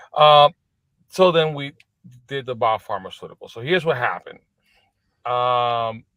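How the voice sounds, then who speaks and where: A man in a Spanish accent, fairly high in pitch, at a moderate pace with ordinary pitch variation, long and frequent pauses, and big swings in loudness. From Puerto Rico, east coast. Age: 40s. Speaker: business executive. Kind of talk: podcast interview. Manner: halting, many restarts.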